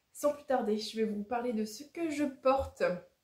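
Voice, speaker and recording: A woman's voice, dark and mellow in tone, moves with ordinary pitch variation. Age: 30s. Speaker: knitting podcaster. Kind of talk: casual vlog-style podcast monologue. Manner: hesitant, many filler 'euh'.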